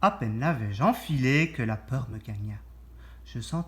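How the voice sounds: A natural voice reads the text. Its intonation is lively.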